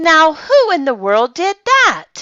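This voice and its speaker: A squeaky, put-on character voice with very wide pitch swings. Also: woman. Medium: read story.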